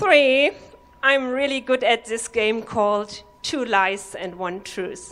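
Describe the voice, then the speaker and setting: A woman with a German accent speaks at a very slow pace and a fairly high pitch. Noticeable background noise runs behind her. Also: lively intonation. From Germany. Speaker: comedy workshop participant. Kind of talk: stand-up. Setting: stage with audience.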